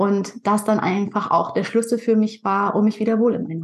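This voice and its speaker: A woman with a medium pitch and a somewhat breathy voice speaks at a fairly quick pace. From northern Germany, Pinneberg near Hamburg. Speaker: nutrition and skin health coach, podcaster. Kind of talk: interview.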